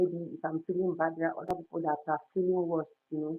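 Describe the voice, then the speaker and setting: Music plays in the background as a woman speaks in a fairly low, monotone voice with flat intonation. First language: non-English native language. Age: 30s. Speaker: lifestyle vlogger and storyteller. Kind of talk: casual livestream chat. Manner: halting.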